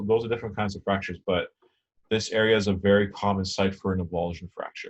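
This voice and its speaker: The speaker talks at a very fast pace in a somewhat breathy voice with monotone, flat intonation. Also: man. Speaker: anatomy lecturer. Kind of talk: lecture.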